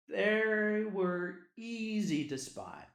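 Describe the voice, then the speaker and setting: A man with a Southern US accent. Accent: Southern US drawl. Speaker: podcast host. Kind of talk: personal story reading.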